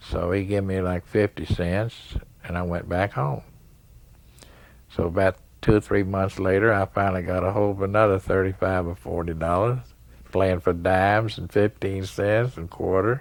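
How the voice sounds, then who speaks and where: In an East Tennessee accent, a man talks at a moderate pace with a very deep, low voice and fairly even intonation. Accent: East Tennessee Southern US. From Tennessee, US South. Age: 70s. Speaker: pool player. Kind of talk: interview storytelling. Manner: halting, with fillers.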